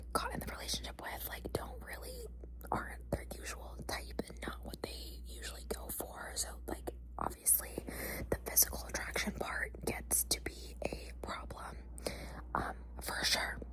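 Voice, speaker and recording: A soft-spoken voice whispers at a fairly slow pace. Noticeable background noise runs underneath. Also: woman. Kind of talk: ASMR whisper ramble. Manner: whispered.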